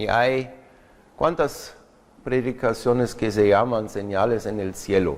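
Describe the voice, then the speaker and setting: Speaking very slowly with a German accent, a man shows ordinary pitch variation. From Germany. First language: German (speaking Spanish). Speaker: preacher. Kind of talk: sermon. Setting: church. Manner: halting, with fillers.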